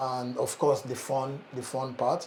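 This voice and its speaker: Medium-pitched male speech at a fairly slow pace, with noticeable background noise. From Nigeria. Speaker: startup founder, channel host. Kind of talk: casual conversation. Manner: halting, many fillers and repeats.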